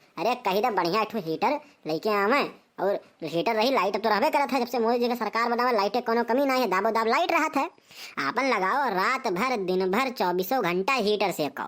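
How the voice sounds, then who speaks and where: A woman performs a cartoonish character voice at a fairly high pitch. She talks at a fairly quick pace with lively intonation. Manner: bossy, lecturing.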